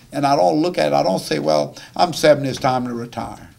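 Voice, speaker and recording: Here a man is talking. He speaks with a south Louisiana accent. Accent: south Louisiana Cajun English. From south Louisiana, St. James Parish. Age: 60s. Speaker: chef. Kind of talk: audience Q&A talk. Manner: halting, many repetitions.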